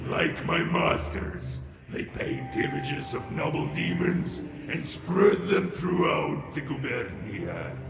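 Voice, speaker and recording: Over loud background noise and a strong echo, a man puts on a character voice at a fairly slow pace. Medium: game stream. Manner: mocking, sly.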